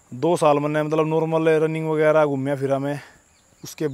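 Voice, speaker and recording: The recording of this man's voice is dry, with no echo at all. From Haryana, Sonipat; Haryana. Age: 20s. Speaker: wrestler and fitness vlogger; vlogger. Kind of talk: casual vlog monologue. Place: open country. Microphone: handheld.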